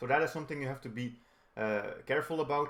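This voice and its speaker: Moving at a fairly quick pace, a man talks in a plain, everyday voice with ordinary pitch variation. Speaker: chess instructor. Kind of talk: tutorial.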